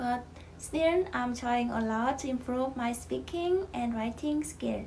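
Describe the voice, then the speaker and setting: At a very slow pace, a woman speaks in a high pitch with ordinary pitch variation over noticeable background noise. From Vietnam. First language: Vietnamese. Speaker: foreign resident interviewee. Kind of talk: prepared interview answers.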